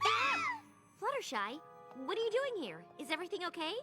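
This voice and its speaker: A cartoonish character voice at an extremely high pitch moves at a fairly quick pace over faint background music. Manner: energetic, excitable.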